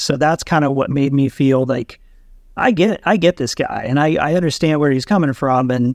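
A plain, everyday voice from a man, fairly high in pitch, at a moderate pace with ordinary pitch variation. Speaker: YouTuber with spinal cord injury. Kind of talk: casual chat.

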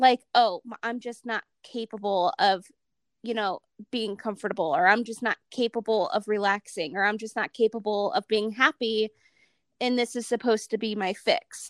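An ordinary speaking voice from a woman with an American accent, fairly high in pitch, moderate in pace, with ordinary pitch variation, big swings in loudness, and a dry, close sound with no echo. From Ohio, US Midwest. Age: 30s. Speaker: podcast host, mom. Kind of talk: casual interview chat.

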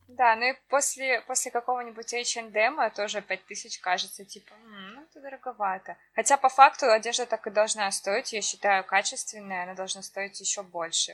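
Against noticeable background noise, a woman with a fairly high pitch talks at a moderate pace with hardly any pauses, ordinary pitch variation and big swings in loudness. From Russia, Siberia (Achinsk). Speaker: podcast co-host. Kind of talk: casual chat.

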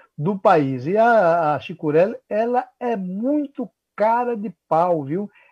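This man has a dark, mellow tone and lively intonation. The sound is dry and close with no echo, over a quiet background. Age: 60s. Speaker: radio commentator. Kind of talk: radio talk show commentary. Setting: working from home.

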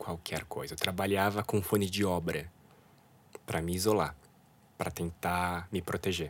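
A man with a very deep, low pitch and ordinary pitch variation speaks at a moderate pace on a very clean recording with a silent background. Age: 30s. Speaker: illustrator and art director. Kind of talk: interview about mental health.

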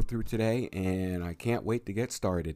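A man speaks with fairly even intonation while music plays in the background. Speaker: radio host. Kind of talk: radio DJ patter. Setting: radio show, internet radio. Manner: fluent, with filler words.

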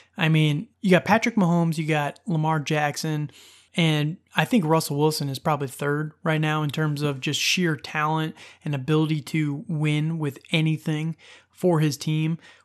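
A man with a normal speaking voice, fairly high pitch, fairly even intonation and moderate pace, over a quiet background. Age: 30s. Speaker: fantasy football podcast host. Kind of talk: solo podcast monologue. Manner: casual, laughing at times.

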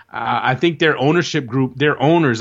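An ordinary speaking voice from a man with an American accent, moving at a moderate pace with ordinary pitch variation over a quiet background. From New Jersey. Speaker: soccer journalist and podcast co-host. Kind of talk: casual chat.

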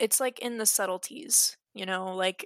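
A woman speaks in a normal speaking voice with ordinary pitch variation, in a very clean recording with a silent background. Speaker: podcast guest, friend of host. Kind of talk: casual chat.

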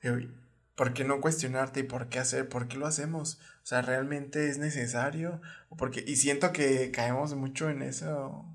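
With a Mexican accent and a medium pitch, a man speaks at a moderate pace and with fairly even intonation, with audible room echo. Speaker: podcast co-host. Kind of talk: casual chat.

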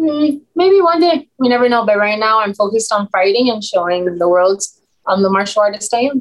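In an American accent, a woman speaks at a fairly quick pace and fairly high pitch, her intonation lively and her loudness very even. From Miami, Florida (Cuban American). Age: 20s. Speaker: mixed martial arts fighter. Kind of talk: interview.

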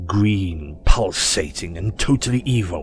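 The intonation is lively throughout. Noticeable background noise runs under the speech. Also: man. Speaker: audiobook narrator. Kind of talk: literary audiobook reading, scripted fan fiction narration. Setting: fan-made audio production. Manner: animated, dramatic storyteller voicing characters; expressive, theatrical.

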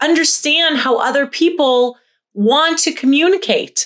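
At a fairly slow pace, a woman talks in an animated tone with lively intonation, in a very clean recording with a silent background. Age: 40s. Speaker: podcast host, wellness coach. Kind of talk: solo podcast monologue.

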